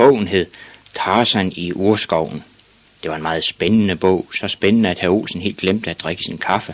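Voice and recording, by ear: The speaker is reading aloud in a natural voice.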